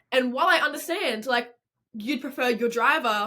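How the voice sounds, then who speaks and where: Her tone bright and sharp, a woman with an Australian accent talks at a fairly high pitch. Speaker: podcast co-host. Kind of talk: casual chat.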